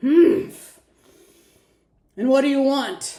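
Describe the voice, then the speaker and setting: Someone performs a loud, put-on character voice. It is gruff and high in pitch. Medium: read story. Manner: gruff, loud.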